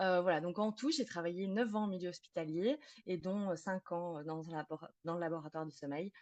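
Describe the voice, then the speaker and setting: A woman talks at a fairly quick pace with a slight Belgian accent and a fairly low pitch. The sound is dry and close with no echo, over a quiet background. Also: ordinary pitch variation. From Belgium. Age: 30s. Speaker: psychotherapist specialised in sleep disorders. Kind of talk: podcast interview.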